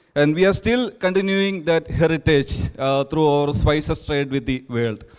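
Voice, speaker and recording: Fairly high-pitched male speech at a moderate pace, lively intonation, music in the background. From India, Kerala. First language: Malayalam. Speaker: NGO representative. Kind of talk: conference presentation. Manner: halting, frequent uh fillers.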